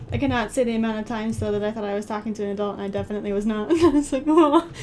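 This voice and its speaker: A woman talks at a very fast pace over noticeable background noise. Her fairly high voice has ordinary pitch variation. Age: 20s. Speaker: streamer and artist. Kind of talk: casual live-stream chat.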